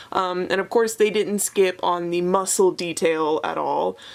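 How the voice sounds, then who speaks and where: Someone speaks in an excited tone at a moderate pace over noticeable background noise. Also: woman. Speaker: toy collector vlogger. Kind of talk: unboxing review. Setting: sitting on floor at home.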